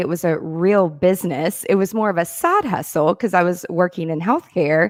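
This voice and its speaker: Amid noticeable background noise, a woman of medium pitch speaks at a moderate pace. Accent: Tennessee. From Tennessee, Mount Juliet near Nashville. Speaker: productivity consultant. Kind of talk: interview.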